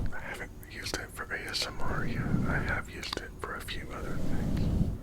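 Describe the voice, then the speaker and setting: A man whispers in a calm tone at a moderate pace. Noticeable background noise is audible. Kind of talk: casual talk to camera. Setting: studio, close microphone. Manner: soft, half-whispered, calm.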